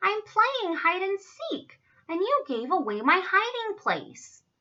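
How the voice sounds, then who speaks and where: A woman puts on a squeaky character voice at an extremely high pitch. She speaks at a fairly slow pace. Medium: read story.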